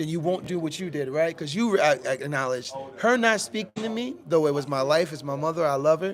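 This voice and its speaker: A man speaks fairly quickly with a fairly high pitch and lively intonation, hardly pausing at all. Music plays in the background. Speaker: podcast host. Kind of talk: casual chat. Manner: loud; animated.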